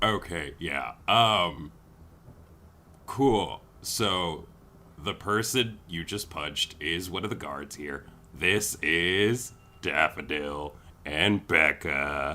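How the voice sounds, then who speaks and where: In a put-on character voice, a man speaks very slowly and at a very deep, low pitch, with long, frequent pauses. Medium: actual play. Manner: flippant, teasing.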